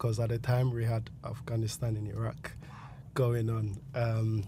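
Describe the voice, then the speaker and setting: A man speaks in a somewhat breathy voice. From Ghana. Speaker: army veteran. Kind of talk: casual interview. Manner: halting, many fillers.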